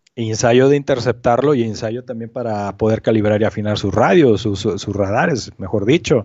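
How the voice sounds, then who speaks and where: The man speaks in a plain, everyday voice at a medium pitch. His pace is moderate, with ordinary pitch variation. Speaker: amateur astronomy researcher. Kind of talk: casual interview.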